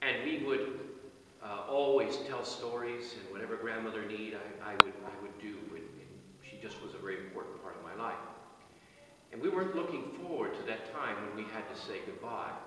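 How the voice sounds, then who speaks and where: Delivered at a fairly quick pace, the speech is broken by long, frequent pauses, with audible room echo and light background noise. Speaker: officiant at a burial service. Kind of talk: sermon at a burial service, reading psalm and offering comfort. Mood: solemn, personal, comforting. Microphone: camera far.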